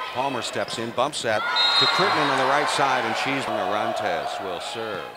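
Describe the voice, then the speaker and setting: Fairly slow speech from a man, noticeable background noise throughout. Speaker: volleyball commentator. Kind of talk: live sports commentary of a volleyball match, highlight reel. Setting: arena, during a college volleyball match. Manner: excitable at big points, occasional laugh.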